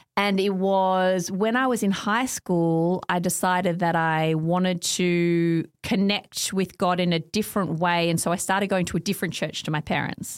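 A woman with an Australian accent at a medium pitch and moderate pace, with fairly even intonation, very even loudness and hardly any pauses, on a very clean recording with a silent background. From Australia, Melbourne eastern suburbs. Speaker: academic and author. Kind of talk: casual interview.

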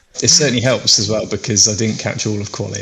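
With an English accent and a fairly low pitch, a man talks at a very fast pace over noticeable background noise. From English Midlands. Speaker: racing driver. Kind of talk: casual chat.

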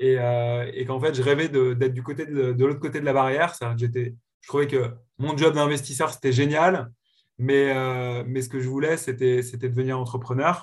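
The man's medium-pitched voice holds fairly even intonation at a moderate pace. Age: 30s. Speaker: serial tech entrepreneur. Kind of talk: podcast interview. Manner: hesitant with frequent repetitions.

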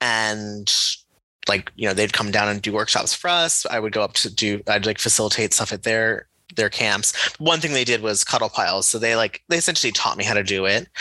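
A man talks at a fairly quick pace with a fairly low pitch. His tone is bright and sharp. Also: ordinary pitch variation. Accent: American. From Connecticut, US Northeast. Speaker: wellness coach. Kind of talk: interview.

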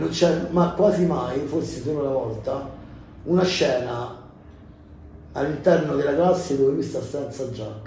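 With long, frequent pauses, a man speaks fairly slowly at a fairly high pitch with ordinary variation, amid noticeable background noise and audible room echo. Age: 40s. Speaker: actor and entertainer. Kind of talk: casual chat.

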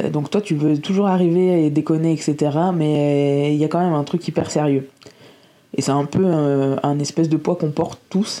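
A woman speaks at a fairly slow pace. Her voice is very deep and low, with a dark, mellow tone. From northern France, Lille. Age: 30s. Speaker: youtuber and podcaster. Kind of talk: casual solo podcast monologue. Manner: halting, stammering; animated, laughing. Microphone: cheap microphone.

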